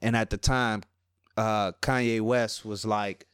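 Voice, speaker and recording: Very slow speech in a New Orleans accent, dry and close with no echo, on a very clean recording with a silent background. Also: man. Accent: Southern New Orleans. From New Orleans, Louisiana (Ninth Ward). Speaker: rapper. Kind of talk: interview. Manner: casual.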